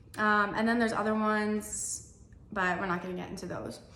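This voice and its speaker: A woman's medium-pitched voice with ordinary pitch variation, heard with audible room echo. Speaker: dietitian. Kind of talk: tutorial. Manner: casual, filler-heavy.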